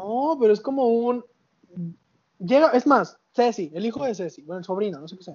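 With lively intonation, a man with a high pitch talks at a moderate pace, leaving long, frequent pauses. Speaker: podcast co-host. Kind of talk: casual chat.

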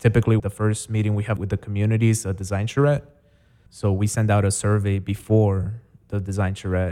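A man with a dark, mellow tone and a fairly low pitch talks at a moderate pace. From Chicago, South Side (born in Guatemala, moved at seven). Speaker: nonprofit executive director. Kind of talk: interview.

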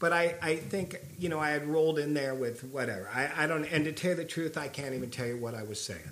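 Talking at a very fast pace with hardly any pauses, a man with a fairly high pitch and an American accent uses ordinary pitch variation against noticeable background noise. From California. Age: 50s. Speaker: punk rock vocalist. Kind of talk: casual interview conversation. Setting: at his house.

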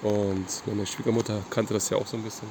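A man's fairly low-pitched voice at a fairly quick pace, with noticeable background noise. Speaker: podcast co-host. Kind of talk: casual chat while hiking. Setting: outdoors on a mountain trek. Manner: halting, hesitant.

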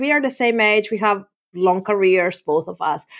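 With a Spanish accent, a woman talks at a moderate pace in a fairly high pitch and lively intonation, captured in a very clean recording with a silent background. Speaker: developer advocate. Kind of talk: casual chat.

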